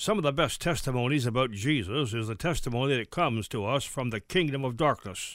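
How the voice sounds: This is a natural reading voice. Every line is delivered in it.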